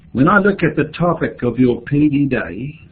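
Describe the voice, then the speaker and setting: With a New Zealand accent, a man speaks at a very slow pace in a fairly high pitch. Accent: New Zealand (Kiwi). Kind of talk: keynote speech. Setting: remote video link.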